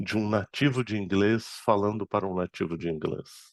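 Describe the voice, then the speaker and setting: Fairly slow, fairly low-pitched speech from a man. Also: quiet background. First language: Arabic (speaking Portuguese). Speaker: spiritist speaker and medium. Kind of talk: lecture.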